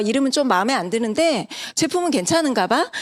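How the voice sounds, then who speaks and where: Her pitch high and swinging very widely, a woman talks at a very fast pace. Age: 40s. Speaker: network marketing business presenter. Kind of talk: sales pitch.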